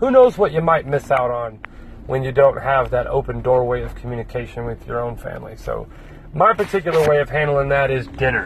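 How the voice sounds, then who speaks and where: A man speaks at a fairly quick pace, and noticeable background noise is audible throughout. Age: 30s. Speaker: podcast host. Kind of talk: solo casual monologue. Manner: animated.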